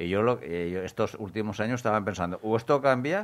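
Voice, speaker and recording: This is a man speaking. He talks at a moderate pace. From Murcia region, Spain. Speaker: radio host. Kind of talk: casual radio chat. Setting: radio studio. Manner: halting.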